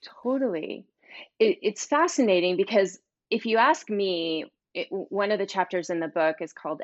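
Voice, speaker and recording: A woman speaks with an American accent in a normal speaking voice. Her pace is moderate and her pitch variation ordinary. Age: 50s. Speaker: author and speaker on money mindset. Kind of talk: interview.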